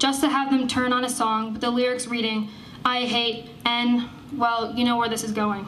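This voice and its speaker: With an American accent, the speaker talks at a moderate pace in a monotone, flat intonation over noticeable background noise. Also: woman. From Skaneateles, New York, US. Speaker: college student and activist. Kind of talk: protest rally speech. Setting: outdoors.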